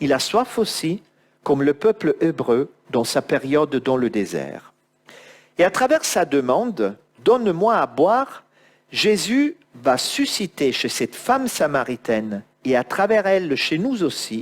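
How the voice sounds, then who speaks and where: Speaking very slowly, a man with a fairly high pitch swings very widely in both pitch and loudness. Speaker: preacher. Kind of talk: sermon.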